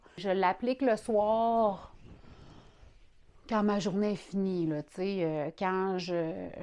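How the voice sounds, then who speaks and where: A woman speaks very slowly with a Quebec accent. The background is quiet. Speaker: vlogger. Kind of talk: personal video diary. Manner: casual, hesitant with fillers.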